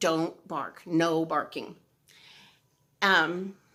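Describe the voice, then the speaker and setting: In a very clean recording with a silent background, a woman's fairly low-pitched voice has a bright, sharp tone. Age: old. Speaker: video blogger. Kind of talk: casual chat. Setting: outdoors. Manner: loud.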